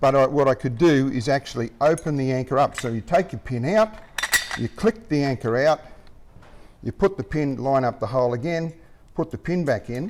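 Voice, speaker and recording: A speaker with an Australian accent talks at a moderate pace with lively intonation. Noticeable background noise runs through the clip. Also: man, fairly high pitch for a man. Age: 60s. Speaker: anchor inventor. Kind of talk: interview.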